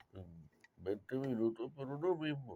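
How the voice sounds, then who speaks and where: Lively intonation colors this man's fairly slow speech. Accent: Puerto Rican. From Puerto Rico (San Juan and Yauco). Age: 60s. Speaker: autobiographical storyteller. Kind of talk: personal monologue, autobiography. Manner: halting, self-correcting.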